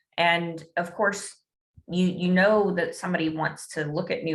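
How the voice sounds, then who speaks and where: Her tone is bright and sharp. This woman speaks at a fairly low pitch with ordinary pitch variation. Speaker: digital advertising consultant. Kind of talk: webinar presentation. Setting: online webinar. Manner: hesitant, many fillers.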